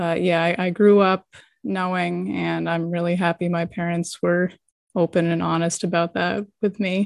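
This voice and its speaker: An unremarkable speaking voice from a woman with an American accent, fairly low in pitch, fairly even in intonation, at a moderate pace over a quiet background. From New England (Boston, Massachusetts). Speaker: donor-conceived person. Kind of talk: casual interview chat.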